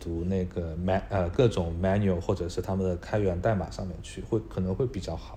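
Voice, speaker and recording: At a fairly quick pace, a man with a very deep, low pitch talks with ordinary pitch variation. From Hangzhou, China. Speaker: data engineer. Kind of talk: casual interview chat. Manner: hesitant, many fillers.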